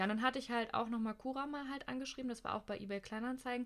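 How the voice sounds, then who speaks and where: Very fast speech from a woman, fairly high in pitch, with fairly even intonation. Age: 20s. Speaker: host's wife. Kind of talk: casual chat.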